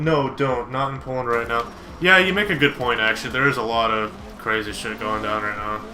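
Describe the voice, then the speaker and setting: A man talks at a fairly quick pace with an animated tone, medium pitch and ordinary pitch variation, with audible room echo and noticeable background noise. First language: Polish. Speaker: video game streamer. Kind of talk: casual live-stream chat with gameplay commentary. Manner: casual, animated.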